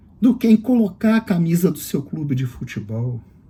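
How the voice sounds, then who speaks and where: A man's dark, mellow voice with very wide pitch swings, at a fairly slow pace. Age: 60s. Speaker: political commentator. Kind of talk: political monologue. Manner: indignant.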